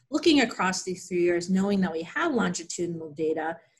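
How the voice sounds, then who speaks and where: The speaker has an American accent and a somewhat breathy voice. The pace is fairly quick, with ordinary pitch variation. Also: woman. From Pennsylvania, US. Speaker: clinical psychologist. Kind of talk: research interview.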